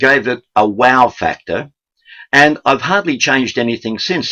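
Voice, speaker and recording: A man talks fairly slowly in an Australian accent, his tone bright and sharp. The intonation is lively, and the sound is dry and close with no echo. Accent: thick Australian. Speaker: sales trainer. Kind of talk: sales training talk.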